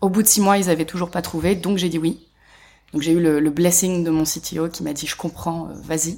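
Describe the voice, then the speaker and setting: In a very clean recording with a silent background, a woman speaks at a fairly low pitch in a dark, mellow tone with fairly even intonation. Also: moderate pace. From Paris, France. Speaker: animation production manager. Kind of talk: interview. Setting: at a film festival.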